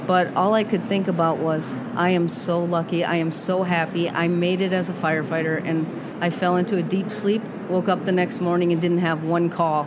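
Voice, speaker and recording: Speaking at a moderate pace with an American accent, a woman keeps a fairly low pitch, very even loudness and a monotone, flat delivery, with audible room echo and noticeable background noise around her. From Massachusetts. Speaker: retired fire captain and author. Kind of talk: interview. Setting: podcast booth at a busy conference.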